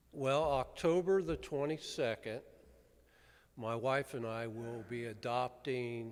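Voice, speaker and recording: Ordinary pitch variation runs through the fairly slow delivery. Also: man. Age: 60s. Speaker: county sheriff. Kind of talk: Q&A talk at a club meeting. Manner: halting, many fillers.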